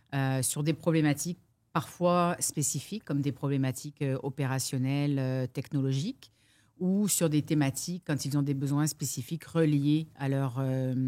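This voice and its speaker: Her voice very deep and low with a dark, mellow tone, a woman speaks at a moderate pace with fairly even intonation. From France. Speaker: business coach. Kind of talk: interview.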